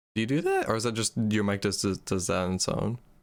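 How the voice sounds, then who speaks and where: A fairly low-pitched male voice on a very clean recording with a silent background. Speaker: gaming streamer, podcast co-host. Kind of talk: casual chat. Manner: loud.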